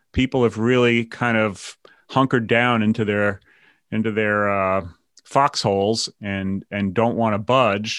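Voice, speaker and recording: A man's fairly low, monotone, flat delivery at a fairly slow pace with an American accent, dry and close with no echo, over a quiet background. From New York. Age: 50s. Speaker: podcast host. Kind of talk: casual chat.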